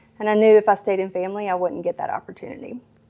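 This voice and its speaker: A woman with a strong Mississippi accent at medium pitch, very fast, with fairly even intonation, on a very clean recording with a silent background. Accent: thick Mississippi. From Mississippi, small town. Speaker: pediatrician. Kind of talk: interview. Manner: hesitant, many fillers.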